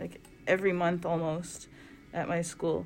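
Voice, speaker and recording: This woman has a fairly low pitch and speaks in a Canadian Prairies accent. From Canada, Winnipeg, Manitoba. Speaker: artist, workshop facilitator. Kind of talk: casual chat during a craft workshop. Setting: art studio workshop.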